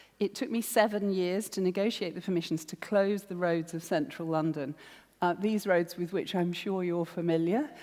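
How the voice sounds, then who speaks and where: A woman with a southern English accent at medium pitch, her tone dark and mellow, at a moderate pace with ordinary pitch variation. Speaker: arts producer, festival director. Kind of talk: public talk.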